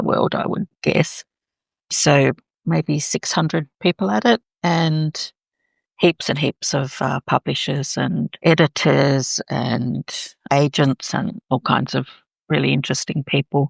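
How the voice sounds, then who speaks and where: In an Australian accent, a woman speaks with a very deep, low pitch and vocal fry, the sound dry and close with no echo. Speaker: author and chaplain. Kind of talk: interview.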